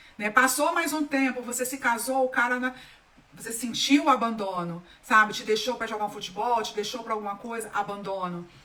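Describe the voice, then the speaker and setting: Over noticeable background noise, a woman talks at a moderate pace in an animated tone, her fairly high voice showing ordinary pitch variation. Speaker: holistic therapist. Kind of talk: live stream talk.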